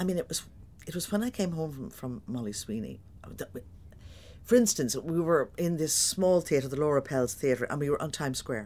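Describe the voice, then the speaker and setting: With a Dublin accent, a woman talks at a fairly quick pace in a dark, mellow tone, her pitch swinging very widely. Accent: Dublin Irish. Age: 60s. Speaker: stage actor. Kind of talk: interview. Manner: animated.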